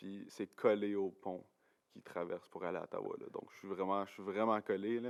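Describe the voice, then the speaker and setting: A moderate pace, big swings in loudness, and a dry, close sound with no echo. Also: man. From Quebec, Gatineau (Outaouais). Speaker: university science student, podcast guest. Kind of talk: casual chat. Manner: hesitant, many fillers and repetitions.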